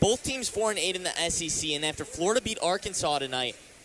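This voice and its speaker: A man's high voice with lively intonation amid noticeable background noise. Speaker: sports broadcaster.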